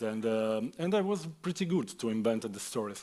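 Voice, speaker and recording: Someone with an Italian accent speaks at a moderate pace with lively intonation on a very clean recording with a silent background. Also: man. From Italy. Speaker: author. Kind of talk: panel discussion. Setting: stage with audience. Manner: halting.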